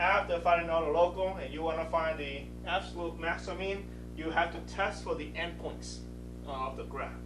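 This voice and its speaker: A man talks with music in the background and audible room echo. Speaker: math instructor. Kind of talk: lecture. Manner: fast.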